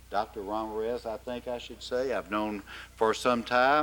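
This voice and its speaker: The speaker talks at a moderate pace with an Arkansas accent. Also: man. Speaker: forum host. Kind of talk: formal event introduction. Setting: forum with live audience.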